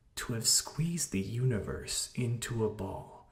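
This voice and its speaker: Somewhat breathy, a man with a medium pitch speaks at a very slow pace. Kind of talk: poetry reading.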